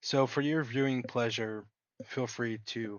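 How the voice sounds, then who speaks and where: Fairly even intonation at a fairly slow pace. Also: man. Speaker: gaming YouTuber. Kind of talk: gameplay commentary. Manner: articulate.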